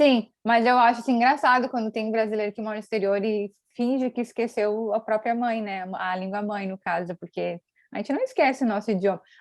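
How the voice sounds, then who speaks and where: The sound is dry and close, without echo. A woman talks fairly quickly at a fairly high pitch. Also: ordinary pitch variation. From Brazil. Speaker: YouTuber. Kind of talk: casual interview chat.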